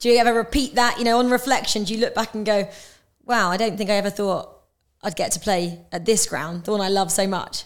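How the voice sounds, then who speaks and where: A woman with a plain, everyday voice at a fairly quick pace, ordinary pitch variation, and a very clean recording with a silent background. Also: fairly high pitch for a woman. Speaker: podcast host. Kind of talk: interview.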